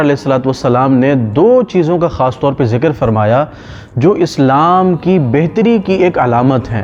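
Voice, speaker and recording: Music plays in the background. Over it, a man talks with very wide pitch swings. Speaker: Islamic scholar giving a lecture. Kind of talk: religious sermon / lecture.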